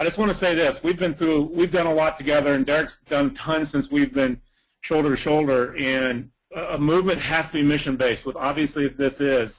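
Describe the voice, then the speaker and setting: At a fairly quick pace, a man with a fairly high voice speaks with very even loudness and ordinary pitch variation. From US South. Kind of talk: webinar comment. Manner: fast.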